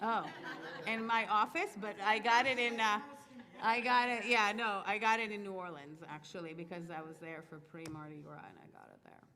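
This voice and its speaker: Over noticeable background noise and audible room echo, a woman talks at medium pitch and a moderate pace with lively intonation and big swings in loudness. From Israel, Moroccan-Tunisian immigrant family. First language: French. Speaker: cantor. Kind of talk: Q&A talk to children and families. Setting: synagogue. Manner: casual, animated.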